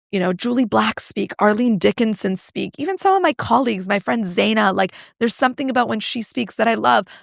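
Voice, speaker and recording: Recorded very cleanly with a silent background and a dry, close sound with no echo, a woman of fairly high pitch speaks at a fairly quick pace with ordinary pitch variation. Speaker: personal branding coach and entrepreneur. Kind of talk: podcast interview. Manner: loud.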